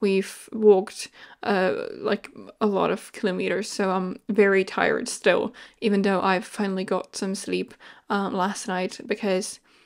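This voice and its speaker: In a non-native accent, a woman with a medium pitch speaks at a fairly slow pace in a flat, monotone way, recorded very cleanly over a silent background. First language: not English. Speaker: video game content creator. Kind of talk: voiceover commentary. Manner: hesitant, many fillers.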